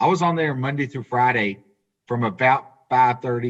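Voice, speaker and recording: A man with a Southern US accent speaks at a fairly quick pace. His pitch is medium, with ordinary variation. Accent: Southern US twang. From US South. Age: 40s. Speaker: auto industry businessman. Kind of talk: podcast interview.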